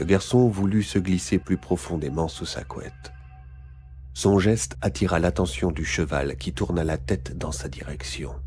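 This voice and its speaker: Music plays behind a man whose very deep, low voice carries lively intonation. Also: fairly slow pace. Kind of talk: children's scary story reading.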